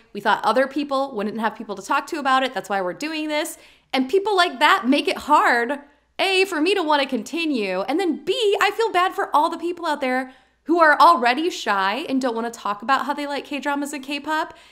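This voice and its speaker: A woman's high, bright, sharp voice swings very widely in pitch on a very clean recording with a silent background. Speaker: podcast co-host. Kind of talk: casual chat. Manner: fast when excited; stumbles over words.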